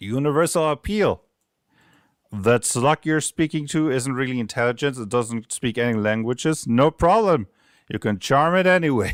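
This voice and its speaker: Recorded very clean with a silent background and a dry, close sound with no echo, a man with a slight German accent speaks at a medium pitch and moderate pace with lively intonation. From Germany. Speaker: game designer streamer. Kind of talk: casual livestream commentary. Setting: livestream.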